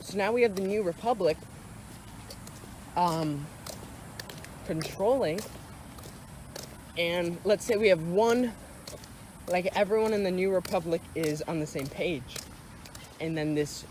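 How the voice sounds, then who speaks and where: Noticeable background noise and long, frequent pauses. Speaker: YouTuber discussing movies. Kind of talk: casual monologue. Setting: outdoors. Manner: halting, self-correcting.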